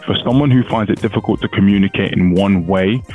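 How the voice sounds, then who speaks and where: Talking at a very fast pace, a man uses a fairly low pitch with ordinary pitch variation, in a dry sound with no echo and faint music in the background. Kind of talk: explainer commentary on a legal case. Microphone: headset.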